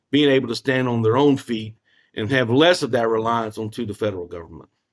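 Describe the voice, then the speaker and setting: A moderate pace, ordinary pitch variation, and a slight Southern US accent. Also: man. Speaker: former First Nation chief and finance professional. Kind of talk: podcast interview. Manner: repetitive, halting phrasing.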